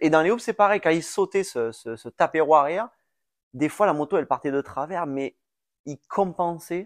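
In a very clean recording with a silent background and a dry, close sound with no echo, a man talks at a moderate pace with fairly high pitch and ordinary pitch variation. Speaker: former supercross racer and coach. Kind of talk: casual chat. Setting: at home on a couch.

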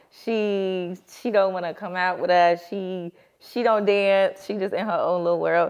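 A woman talks at a fairly slow pace in a monotone, flat intonation against a quiet background. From New Jersey, Newark. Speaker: singer. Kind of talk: casual chat. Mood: cheerful, playful. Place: studio.

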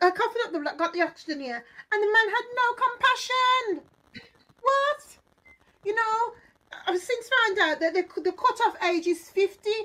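A raised, projected voice with a bright, sharp tone and lively intonation keeps a moderate pace, stopping often for long pauses. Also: woman, extremely high pitch for a woman. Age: 50s. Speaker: gospel singer; guest. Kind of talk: testimony. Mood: earnest, emotional retelling. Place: home room. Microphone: phone near.

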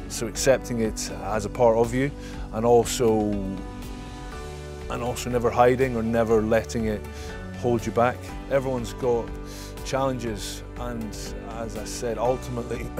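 Over clear music in the background, a man with a Scottish accent speaks at a moderate pace with long, frequent pauses, the sound dry with no echo. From Scotland. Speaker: former professional rugby player. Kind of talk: interview answer. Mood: open, reflective, relaxed. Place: garden.

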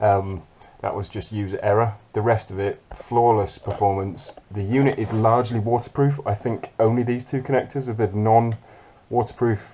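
With a dark, mellow tone, a man talks using fairly even intonation. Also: moderate pace. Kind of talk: tutorial. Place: boat. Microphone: phone near.

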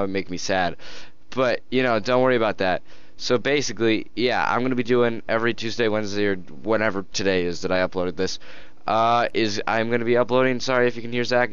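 A man at a fairly quick pace with ordinary pitch variation and a dry sound with no echo. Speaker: gaming channel host. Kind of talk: casual vlog chat. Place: home room. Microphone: headset.

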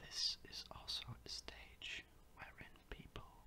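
At a very slow pace, a man whispers his words. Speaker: ASMR creator. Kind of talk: ASMR educational talk. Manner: whispered.

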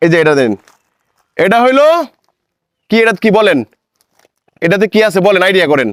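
A man's high-pitched voice with lively intonation and very even loudness, dry and close with no echo. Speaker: charity worker. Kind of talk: charity home-visit interview. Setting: at a blind man's home.

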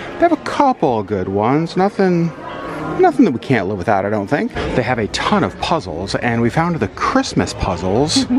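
The speech moves at a moderate pace, with crowd noise in the background. The sound is dry, with no echo. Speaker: vlogger. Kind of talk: casual vlog chat. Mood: cheerful, laughing. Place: shop. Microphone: phone near.

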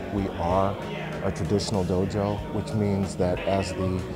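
Over clear music in the background, a man talks at a fairly slow pace. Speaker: karate instructor. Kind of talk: interview answer. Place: gym.

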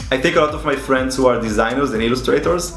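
A man talking at a very fast pace, with audible room echo and light background noise. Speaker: illustrator youtuber. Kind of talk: casual vlog chat. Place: home room.

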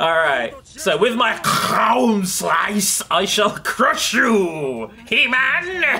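Putting on a character voice, a man speaks at a very slow pace with a high pitch. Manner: monstrous.

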